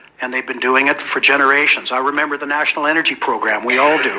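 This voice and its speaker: A man with a western Canadian accent talks very fast in a fairly high voice with monotone, flat intonation. Noticeable background noise is present. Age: 60s. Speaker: event moderator. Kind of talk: public speech introducing a panel. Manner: hesitant, repeating words.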